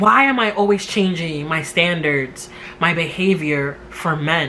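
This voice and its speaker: A woman speaks with a New York accent. Noticeable background noise can be heard. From New York City. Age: 30s. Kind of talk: casual talk to camera. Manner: talkative.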